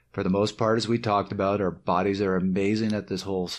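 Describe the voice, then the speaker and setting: Against a quiet background, a man speaks at a fairly quick pace with fairly low pitch and fairly even intonation. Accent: slight Canadian. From Canada. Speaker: cycling coach and podcast co-host. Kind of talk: podcast summary segment.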